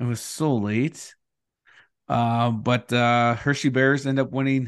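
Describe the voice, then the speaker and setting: Against a quiet background, a man speaks at a very slow pace in a medium pitch with monotone, flat intonation. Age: 40s. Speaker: podcast host. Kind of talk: casual chat.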